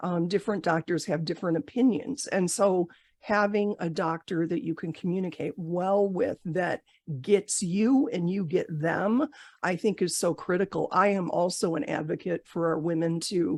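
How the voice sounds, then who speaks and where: A woman uses a normal speaking voice, fairly low in pitch with ordinary pitch variation, moving at a moderate pace. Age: 60s. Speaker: podcast host, breast cancer survivor. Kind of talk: interview podcast.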